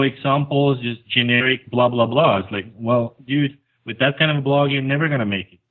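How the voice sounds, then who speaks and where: With a non-native accent, a man speaks in a fairly high pitch and fairly even intonation. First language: not English. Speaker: conversion optimization expert, blogger. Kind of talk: podcast interview.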